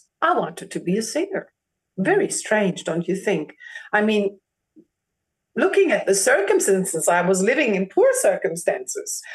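A woman with a German accent speaks with long, frequent pauses. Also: moderate pace. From Germany. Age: 40s. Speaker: opera singer. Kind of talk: interview. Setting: video call. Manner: animated.

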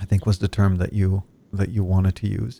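A man with an Israeli accent speaks at a moderate pace and a fairly low pitch, in a dark, mellow tone. His intonation is monotone and flat, with a dry, close sound and no echo. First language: Hebrew. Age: 40s. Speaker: podcast host. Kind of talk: interview.

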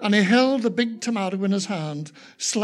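A passage is read aloud in a natural voice.

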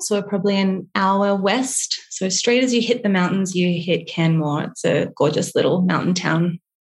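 A woman with an Australian accent speaks at very even loudness with hardly any pauses. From Australia, Byron Bay. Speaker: small business co-founder. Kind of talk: podcast interview.

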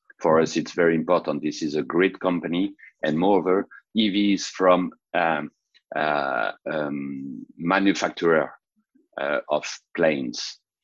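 With a French accent, a man speaks in a very deep, low pitch at a fairly slow pace, leaving long, frequent pauses. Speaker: startup founder. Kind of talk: interview. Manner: halting.

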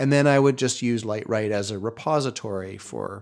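In a very clean recording with a silent background, a man with a Canadian accent speaks at a moderate pace in an unremarkable speaking voice, his pitch medium with ordinary variation. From northern British Columbia, Canada. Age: 50s. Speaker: lighting designer and director. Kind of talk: casual interview chat.

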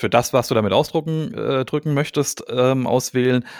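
On a very clean recording with a silent background and a dry, close sound with no echo, a man with a normal speaking voice talks at a moderate pace and medium pitch. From Hesse, Germany (Gelnhausen). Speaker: podcast host, photographer. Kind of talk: casual chat.

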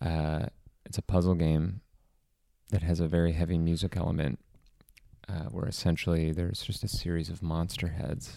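Quiet and at a moderate pace, a man with a very deep, low pitch and a dark, mellow tone speaks with fairly even intonation and long, frequent pauses. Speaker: podcast co-host. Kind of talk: casual chat. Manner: quiet, close to the mic.

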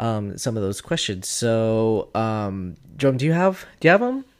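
Recorded very cleanly with a silent background, a plain, everyday voice proceeds at a moderate pace. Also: man. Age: 30s. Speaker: podcast co-host. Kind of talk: casual chat.

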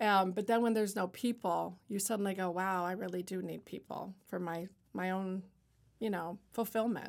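A woman's unremarkable speaking voice at a medium pitch and moderate pace, with ordinary pitch variation, on a very clean recording with a silent background. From Ontario, Canada (Niagara-on-the-Lake). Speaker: artist and shop owner. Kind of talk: casual interview. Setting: studio.

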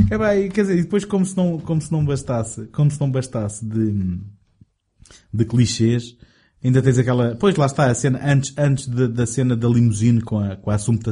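A man speaks at a moderate pace, his pitch swinging very widely. His tone is dark and mellow, somewhat breathy. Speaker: film podcast host. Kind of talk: casual chat.

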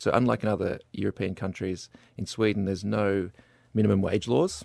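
Over a quiet background, a man with an Australian accent talks at a fairly quick pace with vocal fry, the sound dry and close with no echo. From Melbourne, Australia. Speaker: master's student. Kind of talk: casual discussion. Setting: studio.

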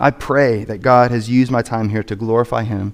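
Using an ordinary speaking voice, a man talks at a moderate pace and medium pitch. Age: 30s. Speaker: pastor. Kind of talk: sermon. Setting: church.

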